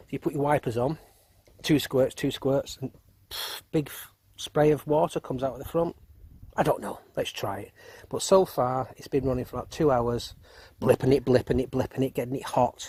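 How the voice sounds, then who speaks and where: A man speaks at a fairly high pitch in a dark, mellow, somewhat breathy tone, with fairly even intonation and a moderate pace. His loudness swings widely, and the sound is dry and close with no echo. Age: 50s. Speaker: car enthusiast. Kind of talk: casual tutorial. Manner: halting.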